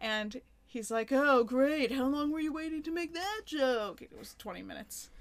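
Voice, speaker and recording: With lively intonation and big swings in loudness, a woman speaks in a high voice. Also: moderate pace. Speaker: podcast host. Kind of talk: casual banter between spouses.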